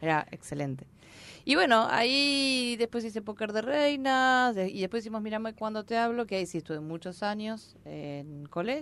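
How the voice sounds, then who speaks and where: This woman's fairly high voice swings very widely in pitch at a moderate pace. The recording is very clean, with a silent background. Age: 50s. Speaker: actress and stand-up comedian. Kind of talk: casual chat.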